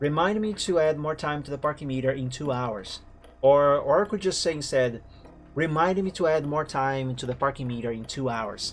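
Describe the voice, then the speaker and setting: With a slight non-native accent, a man speaks at a moderate pace in a fairly high voice with ordinary pitch variation. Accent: slight foreign. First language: Portuguese. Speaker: game streamer. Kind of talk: casual gaming stream chat.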